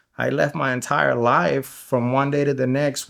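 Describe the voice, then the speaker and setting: Medium-pitched male speech in a Spanish accent, at a moderate pace with ordinary pitch variation, over a quiet background. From Guatemala. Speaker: interview guest sharing life story. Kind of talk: podcast interview, personal testimony. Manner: casual, many fillers and repetitions.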